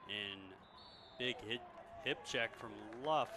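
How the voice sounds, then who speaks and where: A man with an American accent speaks at a medium pitch against noticeable background noise. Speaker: play-by-play commentator. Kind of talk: live sports commentary.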